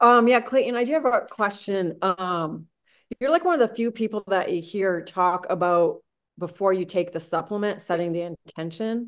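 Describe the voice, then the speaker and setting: The woman has a normal speaking voice at a medium pitch, with ordinary pitch variation. She talks at a moderate pace against a quiet background. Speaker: anesthesia provider. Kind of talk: testimony.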